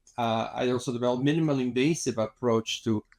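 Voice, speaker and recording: The speaker has a Spanish accent and a moderate pace. Pitch variation is ordinary. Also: man. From Mexico City, Mexico. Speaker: cosmetic dentist and filmmaker. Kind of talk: interview. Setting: studio. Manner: halting, many fillers and repetitions.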